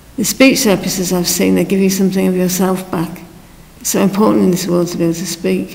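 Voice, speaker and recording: Noticeable background noise fills the clip as the speech races along very fast. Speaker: former teacher, speech therapy patient. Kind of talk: documentary interview.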